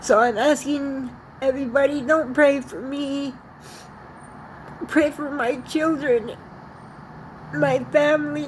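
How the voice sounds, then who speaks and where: A shaky voice moves at a very slow pace against noticeable background noise. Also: woman, high pitch for a woman. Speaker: vlogger sharing personal message. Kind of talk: personal video message. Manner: halting.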